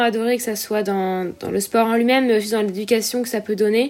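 This woman has a fairly high pitch and speaks with monotone, flat intonation. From La Réunion. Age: 20s. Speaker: professional triathlete. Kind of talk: interview.

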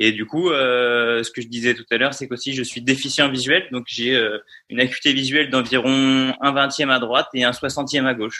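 The tone is bright and sharp, at a moderate pace. Intonation stays monotone and flat, but loudness swings widely. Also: man, medium pitch for a man. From France, Vendée. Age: 20s. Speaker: paratriathlete and physiotherapist. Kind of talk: interview. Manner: hesitant, many fillers.

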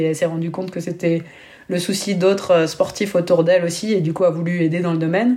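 Fairly quick speech from a woman with a dark, mellow tone, fairly low pitch, and fairly even intonation. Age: 30s. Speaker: former pro basketball player turned entrepreneur. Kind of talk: interview. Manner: hesitant, many fillers.

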